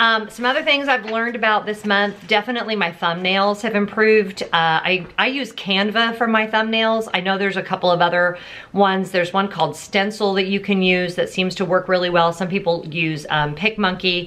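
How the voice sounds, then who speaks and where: Loud and bright with a sharp tone, a woman speaks at medium pitch and a fairly quick pace, showing ordinary pitch variation and hardly any pauses. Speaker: YouTube vlogger. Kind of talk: casual vlog.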